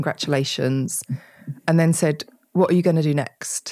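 A woman with an English accent speaks at a very deep, low pitch. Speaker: author. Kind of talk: interview conversation.

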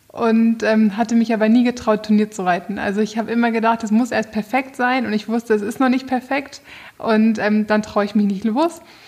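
A woman speaks with a fairly high pitch and a fairly even intonation. There is noticeable background noise. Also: moderate pace. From northern Germany, near Bremen. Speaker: show rider. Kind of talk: interview.

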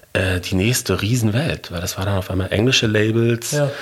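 Noticeable background noise sits behind a man's speech. He moves at a fairly quick pace with ordinary pitch variation. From Germany, Ruhr area (Bochum). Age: 40s. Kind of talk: interview.

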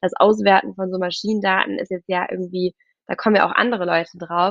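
At a fairly quick pace, a woman speaks at a medium pitch with fairly even intonation. It is an unremarkable speaking voice. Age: 20s. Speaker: startup founder and CEO. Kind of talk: podcast interview. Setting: remote virtual studio.

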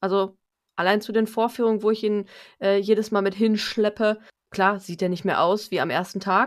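A woman's plain, everyday voice at medium pitch, with moderate pace and ordinary pitch variation, on a very clean recording with a silent background. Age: 30s. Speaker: home appliance sales consultant. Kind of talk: casual interview chat.

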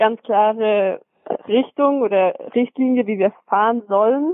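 A woman with an unremarkable speaking voice talks at a fairly slow pace and a fairly high pitch. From Swabia, Germany (Metzingen). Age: 20s. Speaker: professional track cyclist. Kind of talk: casual interview. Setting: phone call from home.

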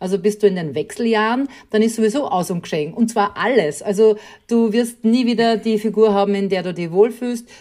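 Speaking at a fairly quick pace, a woman has a fairly high pitch, a dark, mellow tone and ordinary pitch variation. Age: 40s. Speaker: podcast host, guest. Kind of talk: casual interview.

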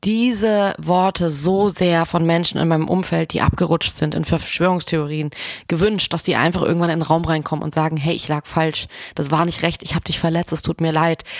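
A woman with a normal speaking voice, a fairly low pitch, fairly even intonation and a moderate pace, on a very clean recording with a silent background. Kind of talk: casual chat.

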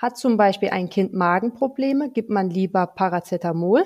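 Against a quiet background, a woman speaks at a moderate pace in a dark, mellow tone with ordinary pitch variation. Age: 30s. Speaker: pharmacist. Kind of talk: interview.

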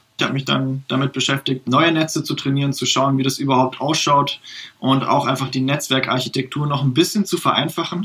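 A man speaks at a fairly quick pace with fairly even intonation. Noticeable background noise sits under his voice. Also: fairly high pitch for a man. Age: 20s. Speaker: games engineer, tech innovation developer. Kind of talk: interview, technical explanation.

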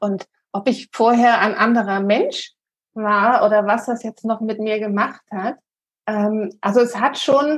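A woman talks at a very slow pace. Her voice is fairly high-pitched and somewhat breathy. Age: 40s. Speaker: health coach, congress organizer. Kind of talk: casual interview chat.

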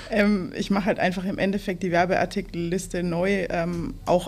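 A woman talks in a normal speaking voice, pitched fairly low. Her intonation stays fairly even. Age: 20s. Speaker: trainee. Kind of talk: casual interview.

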